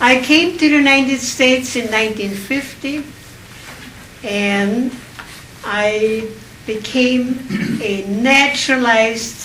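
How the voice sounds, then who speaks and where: Speaking very slowly with long, frequent pauses, a woman's high voice shows ordinary pitch variation, with audible room echo and noticeable background noise. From Austria. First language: German. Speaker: Holocaust survivor speaker. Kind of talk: public speech.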